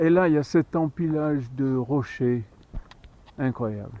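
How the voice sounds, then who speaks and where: A man speaks in a fairly high register for a man. His pitch varies in an ordinary way. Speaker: hiker filming a travel vlog. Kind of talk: casual walking vlog narration. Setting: outdoors on a hiking trail. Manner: soft-spoken.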